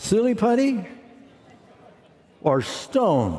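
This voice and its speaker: Audible room echo hangs over speech with lively intonation. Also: man. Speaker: preacher. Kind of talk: sermon.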